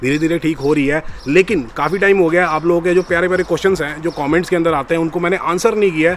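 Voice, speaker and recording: A high-pitched male voice with fairly even intonation and hardly any pauses. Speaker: vlogger on studying in Canada. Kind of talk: casual vlog.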